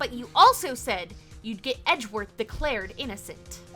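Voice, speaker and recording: Over clear music in the background, a woman puts on a character voice, high in pitch, at a moderate pace. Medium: actual play. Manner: earnest, emotional.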